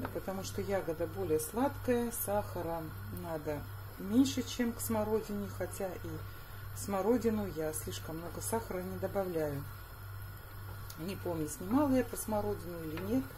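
Over noticeable background noise, a woman talks at a moderate pace with long, frequent pauses. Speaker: home cook vlogger. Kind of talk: casual cooking vlog chat. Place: kitchen. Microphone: phone near.

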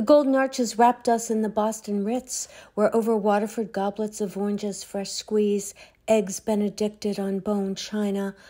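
Her voice is fairly high for a woman yet has a dark, mellow tone. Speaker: poet. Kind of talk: poetry reading, reflective and wry. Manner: measured, wry, deliberate pacing.

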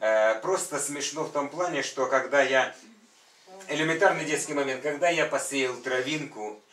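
A man talks at a moderate pace with ordinary pitch variation. Some room echo can be heard. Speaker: church member. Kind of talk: testimony. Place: home room.

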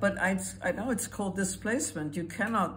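With vocal fry and very wide pitch swings, a woman talks at a moderate pace over light background noise. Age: 80s+. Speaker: Holocaust survivor. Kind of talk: interview answer. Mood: earnest, urgent. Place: home room. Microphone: phone near.

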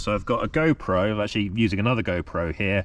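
Recorded with a dry sound and no echo, a man speaks at a very fast pace. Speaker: running vlogger. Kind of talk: casual vlog chat. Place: open country. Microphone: phone near.

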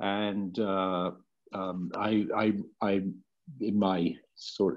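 The background is quiet. A man with a British accent speaks at a fairly low pitch. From UK. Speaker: clean energy board member. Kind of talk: self-introduction at board retreat. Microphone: video call.

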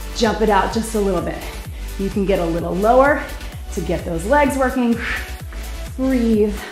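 A woman talks at a moderate pace with audible room echo and faint music in the background. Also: ordinary pitch variation. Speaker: fitness instructor. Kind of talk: workout instruction. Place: gym.

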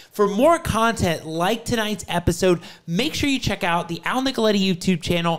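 A man talks at a moderate pace, his pitch varying in an ordinary way, with quiet in the background. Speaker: show host. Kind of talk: show intro. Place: studio. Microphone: studio mic.

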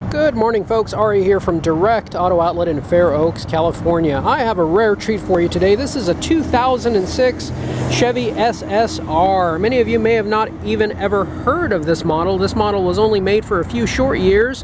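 There are hardly any pauses in the speech. Noticeable background noise runs underneath. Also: moderate pace, dry sound with no echo. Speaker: car salesman. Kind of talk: sales walk-around commentary. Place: street. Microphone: phone near.

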